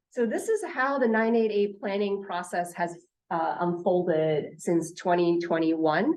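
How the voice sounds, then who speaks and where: A woman's fairly low voice at very even loudness and a fairly slow pace. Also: ordinary pitch variation. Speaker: state health official presenting. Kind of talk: conference presentation. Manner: hesitant with many fillers.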